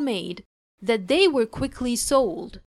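A woman speaks with very wide pitch swings. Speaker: English teacher. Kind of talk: language lesson with reading aloud. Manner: slow, clear enunciation.

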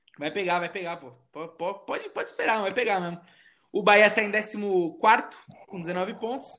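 With a high pitch for a man, this male speaker keeps a moderate pace and fairly even intonation while his loudness swings widely. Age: 20s. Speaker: podcast host. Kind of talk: casual chat.

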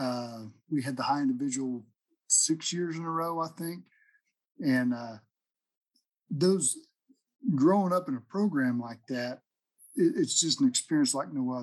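A man with an American accent, fairly high in pitch, with ordinary pitch variation and long, frequent pauses. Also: moderate pace. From southern Oklahoma. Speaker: county extension agent, podcast host. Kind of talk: casual interview.

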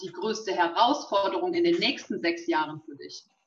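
A normal speaking voice comes through with ordinary pitch variation. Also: woman. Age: young. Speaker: local politician, co-moderator. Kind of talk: live talk interview. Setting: live video stream.

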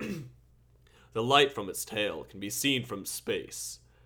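Putting on a character voice, a man speaks at a very slow pace in a raspy, medium-pitched voice. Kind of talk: announcer.

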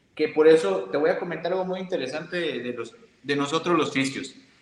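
A man has a plain, everyday voice at a fairly high pitch. His pace is moderate. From Mexico, Veracruz. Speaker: physiotherapist. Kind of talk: interview with presentation.

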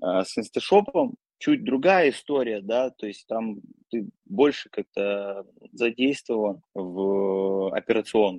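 Lively intonation marks this man's very slow speech. The sound is dry and close, with no echo. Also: medium pitch for a man. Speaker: e-commerce seller. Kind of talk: casual interview.

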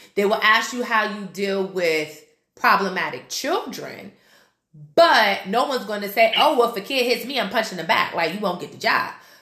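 With an unremarkable speaking voice, a woman talks at a moderate pace and a fairly high pitch. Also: lively intonation. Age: 30s. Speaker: podcast host and group fitness instructor. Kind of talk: casual chat.

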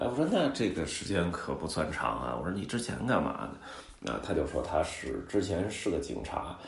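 In a Beijing accent, a man speaks with a very deep, low voice and very wide pitch swings. His pace is moderate, and audible room echo surrounds him. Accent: Beijing Mandarin, erhua. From Beijing, China. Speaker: podcast host, travel storyteller. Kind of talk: casual monologue. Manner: filler-heavy, conversational.

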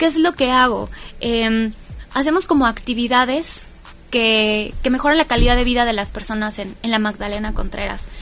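A woman with a fairly high pitch and ordinary pitch variation, over noticeable background noise. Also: moderate pace. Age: young. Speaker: community activist. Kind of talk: interview.

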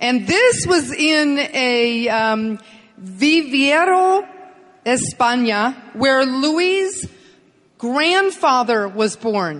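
Very slow, very evenly loud speech from a high-pitched woman, with very wide pitch swings and noticeable background noise. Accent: English. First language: English (speaking Spanish). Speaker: business motivational speaker. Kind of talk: presentation with interpreter. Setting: stage with audience.

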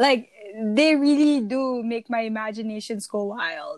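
In a Malaysian accent, a woman speaks at a high pitch and a fairly slow pace with ordinary pitch variation, the sound dry and close with no echo. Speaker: podcast co-host. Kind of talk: casual chat.

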